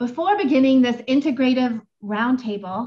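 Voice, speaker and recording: Moderate pace marks this woman's speech. Her pitch is high. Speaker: moderator. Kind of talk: formal introduction. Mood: warm, smiling. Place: home room.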